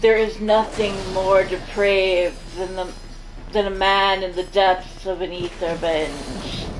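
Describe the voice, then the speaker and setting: In a room with audible echo and noticeable background noise, a woman speaks at a very slow pace. Her medium-pitched voice stays monotone and flat. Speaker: gaming streamer. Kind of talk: casual chat. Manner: halting.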